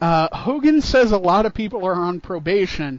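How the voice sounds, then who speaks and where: Energetic in tone, a man talks at a fairly slow pace. His high pitch shows ordinary variation. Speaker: wrestling podcast host. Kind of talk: casual podcast chat recapping a wrestling show. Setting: podcast recording. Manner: play-by-play style recap, energetic.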